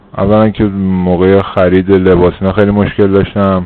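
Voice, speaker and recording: Over noticeable background noise, a man with a very deep, low pitch speaks in a flat, monotone intonation. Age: 30s. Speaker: former bariatric surgery patient. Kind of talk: interview.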